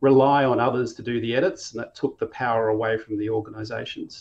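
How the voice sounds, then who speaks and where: A very fast-talking man with an Australian accent, medium pitch and fairly even intonation. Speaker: company co-founder. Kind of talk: interview.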